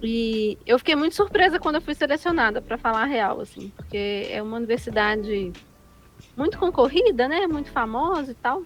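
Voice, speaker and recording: A high-pitched woman's voice with very wide pitch swings, at a moderate pace. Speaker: activist with low vision. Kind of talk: interview. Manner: casual, colloquial.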